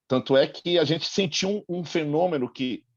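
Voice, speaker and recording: Recorded with a dry, close sound and no echo, a man with a Bahian accent speaks at a moderate pace with ordinary pitch variation. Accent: Bahian Brazilian Portuguese. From Brazil, Bahia (Salvador). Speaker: school teacher and film festival organizer. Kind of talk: audience comment in online panel.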